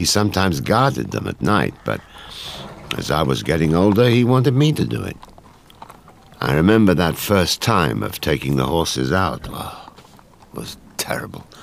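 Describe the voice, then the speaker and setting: Amid noticeable background noise, a man with a very deep, low pitch talks at a moderate pace, taking long, frequent pauses and making very wide pitch swings. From Ukraine. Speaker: Holocaust-era survivor recalling childhood.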